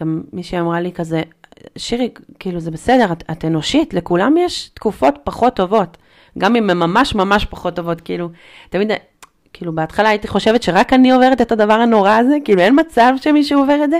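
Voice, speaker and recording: Delivery comes at a fairly quick pace. The pitch swings very widely. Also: woman, medium pitch for a woman. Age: 30s. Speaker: artist and mother sharing postpartum depression experience. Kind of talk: personal testimony in casual interview. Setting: in-person studio conversation.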